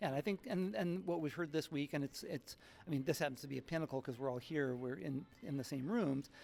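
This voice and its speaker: This man talks at a fairly quick pace with ordinary pitch variation. His voice sits fairly high in pitch. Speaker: tech partnership executive. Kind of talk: conference interview. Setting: tech conference event. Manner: fast.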